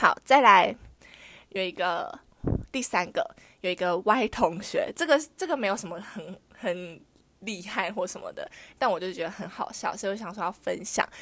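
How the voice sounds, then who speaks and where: A woman of medium pitch talks at a moderate pace with a bright, sharp tone, lively intonation and long, frequent pauses. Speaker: podcast host. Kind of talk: casual storytelling monologue. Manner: chatty.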